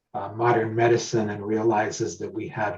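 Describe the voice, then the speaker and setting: A man speaks in a dark, mellow, somewhat breathy tone with monotone, flat intonation. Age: 60s. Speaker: judicial candidate and lawyer. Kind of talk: candidate forum interview.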